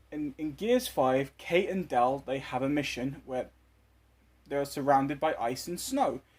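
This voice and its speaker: Here a man with a British accent speaks at a fairly high pitch and a fairly slow pace, keeping his intonation fairly even. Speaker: toy collector and custom figure maker. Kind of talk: casual video commentary. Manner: stuttering, halting.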